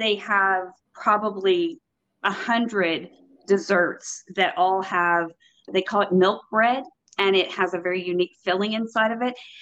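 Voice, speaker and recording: An ordinary speaking voice from a woman with an American accent, medium pitch, ordinary pitch variation and a fairly slow pace. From Texas. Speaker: property management consultant. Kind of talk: casual interview. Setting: remote call while on vacation.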